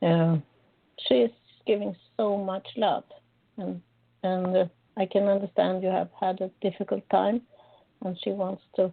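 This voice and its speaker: Pausing long and often, a woman with a Swedish accent speaks fairly slowly at a medium pitch with fairly even intonation. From Sweden. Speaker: psychic medium. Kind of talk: live psychic reading on call-in radio. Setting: live call-in radio show.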